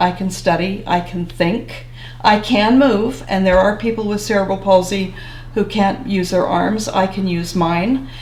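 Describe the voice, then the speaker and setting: A woman speaks at a fairly slow pace and medium pitch with ordinary pitch variation. Noticeable background noise is present. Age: 70s. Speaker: retired social worker. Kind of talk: interview answer.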